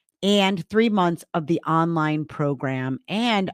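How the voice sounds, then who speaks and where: A woman's fairly low voice with lively intonation, dry and close with no echo, on a very clean recording with a silent background. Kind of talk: casual podcast chat. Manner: loud.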